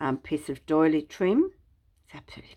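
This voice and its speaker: A woman with an Australian accent. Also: very clean recording, silent background. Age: 70s. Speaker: craft YouTuber. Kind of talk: craft show-and-tell tutorial. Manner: relaxed, casual with many fillers.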